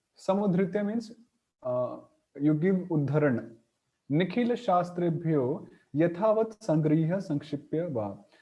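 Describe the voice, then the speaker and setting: A man speaks at a very slow pace with a fairly high pitch. His tone is dark and mellow, and his intonation is lively. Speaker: Sanskrit grammar teacher. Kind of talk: lecture. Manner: halting.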